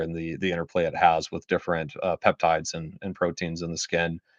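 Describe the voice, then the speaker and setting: Against a quiet background, a man with a very deep, low pitch talks at a fairly quick pace in monotone, flat intonation. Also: dry, close sound with no echo. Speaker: skincare product developer and live stream host. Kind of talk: live stream Q&A. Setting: live stream. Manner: fast; many fillers and repetitions. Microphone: new microphone setup.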